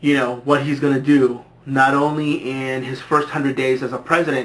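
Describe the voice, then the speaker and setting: In an American accent, a man talks at a moderate pace with a fairly high pitch and a monotone, flat intonation. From California, US. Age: 20s. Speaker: vlogger. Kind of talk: casual vlog monologue. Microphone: low quality camera recording.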